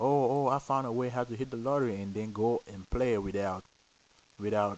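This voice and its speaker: A man with a non-native accent at a moderate pace and fairly even intonation. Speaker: lottery system vlogger. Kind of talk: casual monologue. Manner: hesitant, repeats words.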